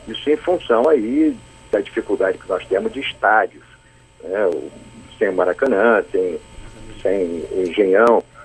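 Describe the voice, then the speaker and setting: Fairly slowly, a man talks while noticeable background noise carries on. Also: long, frequent pauses. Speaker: state football federation president. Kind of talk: radio interview answer by phone. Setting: phone line.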